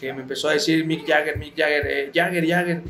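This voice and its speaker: Over noticeable background noise and audible room echo, a man with a fairly high pitch talks very fast with ordinary pitch variation. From Mexico City. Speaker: retired professional footballer. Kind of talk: interview. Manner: halting.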